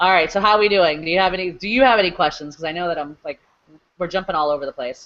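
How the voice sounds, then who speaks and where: The pace from this woman is very fast. Her voice sits fairly low. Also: ordinary pitch variation. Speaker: online marketing coach. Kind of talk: live webinar tutorial.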